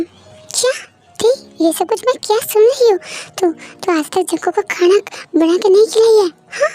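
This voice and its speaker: A woman puts on a character voice at an extremely high pitch, with ordinary pitch variation and long, frequent pauses at a moderate pace. Music plays in the background, and the sound is dry and close with no echo. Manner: shouting, outraged.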